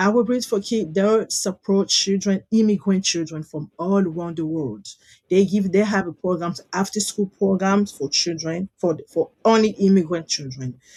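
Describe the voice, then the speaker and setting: Somewhat breathy and dark, mellow in tone, a woman speaks at a moderate pace with hardly any pauses. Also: medium pitch for a woman, ordinary pitch variation. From DR Congo, Kinshasa. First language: French. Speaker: founder of children's nonprofit, former lawyer. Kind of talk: interview, personal story. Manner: halting.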